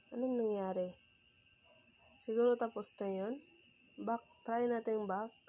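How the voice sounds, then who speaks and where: A woman with a dark, mellow tone speaks at a fairly slow pace, leaving long, frequent pauses. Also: fairly even intonation. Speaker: YouTuber. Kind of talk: tutorial. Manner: halting.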